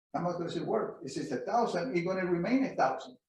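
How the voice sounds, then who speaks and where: The speaker is a man. His pitch is high. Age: 80s+. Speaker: veteran stock and commodity trader. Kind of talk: interview Q&A.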